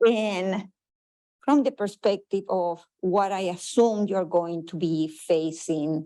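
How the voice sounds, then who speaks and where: Very slow and dark, mellow in tone, a woman's voice sits at a fairly low pitch. Her pitch varies in an ordinary way. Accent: strong Chilean. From Chile. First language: Spanish. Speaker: public health researcher. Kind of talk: conference presentation.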